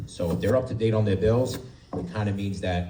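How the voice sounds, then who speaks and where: A man's very deep, low voice with an American accent, plus audible room echo and noticeable background noise. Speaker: real estate agent. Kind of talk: panel talk to audience. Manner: halting.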